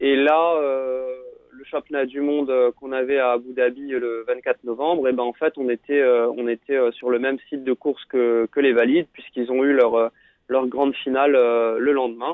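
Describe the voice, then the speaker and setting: A man speaks at a moderate pace with a medium pitch and a monotone, flat intonation. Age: 30s. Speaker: paratriathlete. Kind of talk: radio interview. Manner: halting, many fillers and repetitions.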